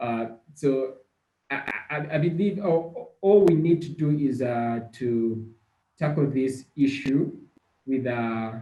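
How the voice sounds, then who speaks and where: A man's fairly high, dark, mellow voice at a very slow pace, with ordinary pitch variation, long, frequent pauses and audible room echo. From Uganda. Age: 20s. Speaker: climate activist. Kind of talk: casual chat. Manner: halting, with many repetitions.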